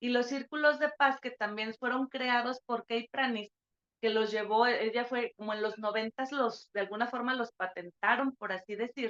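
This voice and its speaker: The sound is dry and close with no echo. Delivery is at a moderate pace with fairly even intonation. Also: woman, high pitch for a woman. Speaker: university lecturer. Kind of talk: online lecture.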